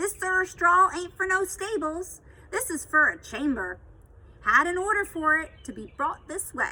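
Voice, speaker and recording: A woman's put-on character voice, extremely high in pitch, with lively intonation, big swings in loudness and a moderate pace. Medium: read story. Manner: blunt, colloquial.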